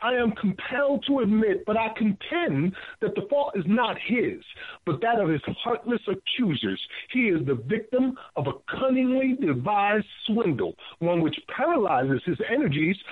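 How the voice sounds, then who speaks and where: The pitch swings very widely throughout. Loudness stays very even. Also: man. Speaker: radio host. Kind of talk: talk radio commentary.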